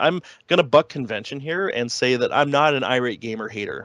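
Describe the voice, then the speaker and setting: The background is quiet. A man with a Canadian accent speaks at a fairly high pitch. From Canada. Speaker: podcast host, guest. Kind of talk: casual chat.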